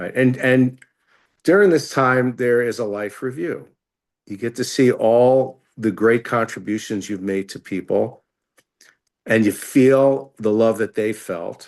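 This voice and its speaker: Against a quiet background, a man with a medium pitch and an ordinary speaking voice talks at a fairly slow pace with ordinary pitch variation. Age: 60s. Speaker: rabbi. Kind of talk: interview explanation.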